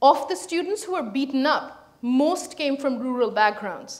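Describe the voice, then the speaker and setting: A high-pitched woman at a moderate pace, with lively intonation over a quiet background. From India, Calcutta; India. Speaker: historian; guest lecturer. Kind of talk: lecture. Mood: serious, earnest. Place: hall.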